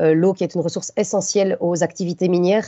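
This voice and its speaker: A woman with a fairly low pitch and a monotone, flat intonation, talking at a fairly quick pace. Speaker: conference speaker on mining impacts. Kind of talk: conference talk with slides. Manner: fast; hesitant, many fillers.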